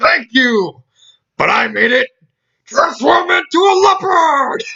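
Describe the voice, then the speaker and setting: This is a put-on character voice with extremely high pitch. The pace is fairly slow. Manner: playful, theatrical.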